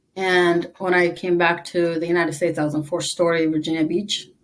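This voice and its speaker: A woman with a fairly low pitch at a moderate pace. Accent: Eritrean. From East Africa (Tigrinya-speaking), moved to US at 11. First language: Tigrinya. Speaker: army veteran. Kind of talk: interview.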